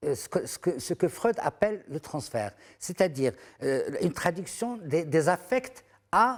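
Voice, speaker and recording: A man with a high pitch and very wide pitch swings speaks at a fairly slow pace, recorded very cleanly against a silent background. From Morocco, rural area near Fez. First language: Moroccan Arabic (Darija) (speaking French). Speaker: art critic and writer, translator. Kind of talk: TV interview. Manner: halting, many hesitations and repetitions.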